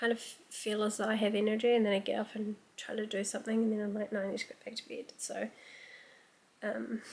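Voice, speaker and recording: A woman speaks quietly at a moderate pace with a fairly high pitch. Her intonation is flat and monotone. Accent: New Zealand. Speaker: book vlogger. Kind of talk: casual vlog talk.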